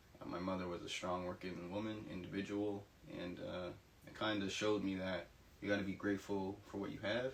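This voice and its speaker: There is noticeable background noise as a man speaks at a fairly quick pace. His pitch is fairly low and his intonation is monotone and flat. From Nova Scotia, Canada (Halifax). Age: 20s. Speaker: university student. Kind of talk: interview testimony.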